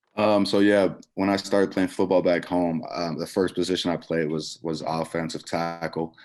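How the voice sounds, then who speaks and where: Over background music, a man with a very deep, low pitch talks at a moderate pace in a monotone, flat intonation. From Netherlands. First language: Dutch. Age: 20s. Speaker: college football player. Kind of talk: press conference interview.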